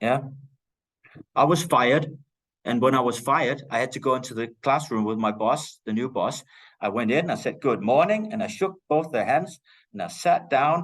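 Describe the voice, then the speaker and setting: A man with a Danish accent speaks at a moderate pace with lively intonation and long, frequent pauses against a quiet background. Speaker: teacher. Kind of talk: lecture. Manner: loud.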